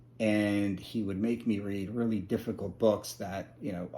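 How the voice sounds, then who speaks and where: At a moderate pace, a man with a fairly low pitch speaks in a dark, mellow tone with fairly even intonation. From US, military base upbringing. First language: Spanish. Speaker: interviewee, former multilingual learner. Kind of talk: interview. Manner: hesitant, many fillers.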